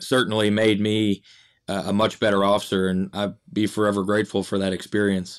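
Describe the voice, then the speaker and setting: A man's fairly low, monotone voice with flat intonation at a fairly quick pace, on a very clean recording with a silent background. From Michigan. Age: 30s. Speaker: police officer and school resource officer. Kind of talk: casual podcast interview.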